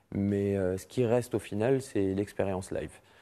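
A man's dark, mellow tone at a fairly low pitch and a moderate pace. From Morocco, Casablanca. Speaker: music festival president; interview guest. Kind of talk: TV interview. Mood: relaxed, friendly. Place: studio. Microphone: lapel.

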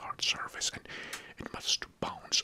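A man is whispering. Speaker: video host. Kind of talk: casual explainer talk. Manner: soft-spoken, close-mic ASMR voice. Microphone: studio mic.

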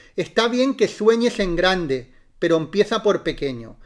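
A man is speaking. His pitch swings very widely. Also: very clean recording, silent background. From Spain, Barcelona. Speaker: reiki teacher. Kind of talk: live-stream talk. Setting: live stream.

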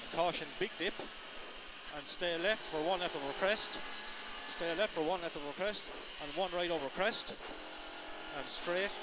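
A man's voice in a dry recording with no echo, long and frequent pauses, and noticeable background noise. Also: moderate pace. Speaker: rally co-driver. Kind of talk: rally pacenotes read aloud in-car during a stage. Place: car. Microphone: helmet.

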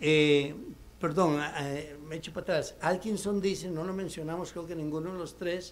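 This man's voice sits at a high pitch. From Costa Rica, Desamparados; Costa Rica. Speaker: retired professor of economics and ethics; retired professor of economics. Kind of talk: panel talk. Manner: halting. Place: meeting room. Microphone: podium.

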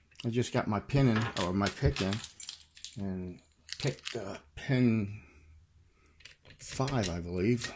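Speaking at a very slow pace with long, frequent pauses, a man uses a fairly low pitch and ordinary pitch variation against noticeable background noise. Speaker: lockpicking hobbyist. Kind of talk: tutorial. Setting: at home at night. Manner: soft-spoken. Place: home room. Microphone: phone near.

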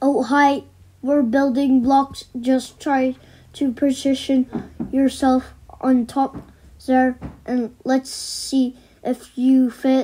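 A put-on character voice, female-sounding and robotic, pitched high. It moves at a very slow pace with long, frequent pauses. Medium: cartoon.

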